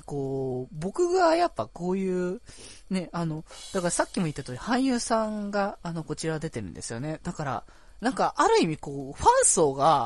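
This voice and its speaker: In a relaxed tone, a high-pitched man speaks at a moderate pace with very wide pitch swings. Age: 20s. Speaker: podcast host. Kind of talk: casual solo talk. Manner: relaxed, laid-back pace; frequent laughter and fillers.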